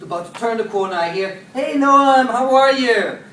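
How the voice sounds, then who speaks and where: A man speaks with fairly even intonation over noticeable background noise and audible room echo. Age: young. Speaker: social entrepreneur giving a talk. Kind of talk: inspirational talk.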